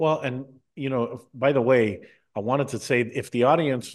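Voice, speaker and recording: Against a quiet background, a man with an American accent talks in an ordinary speaking voice at a medium pitch and moderate pace. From United States. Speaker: TV and radio talk show host. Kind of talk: interview.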